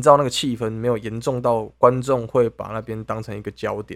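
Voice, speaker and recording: The recording is very clean and the background silent. A man delivers his words at a moderate pace. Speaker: podcast co-host. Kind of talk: casual chat.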